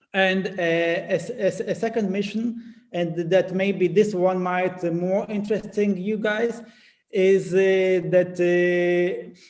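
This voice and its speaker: A man with a non-native accent speaks very slowly in a high pitch and a monotone, flat intonation. Room echo is audible. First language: not English. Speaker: company CEO, conference speaker. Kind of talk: conference presentation. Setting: conference. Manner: halting, many fillers and restarts.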